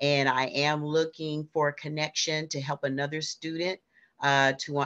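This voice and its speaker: Over a quiet background, a woman with a very deep, low pitch speaks at a moderate pace in a monotone, flat intonation. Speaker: teacher. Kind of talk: webinar closing remarks. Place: home room. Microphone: video call.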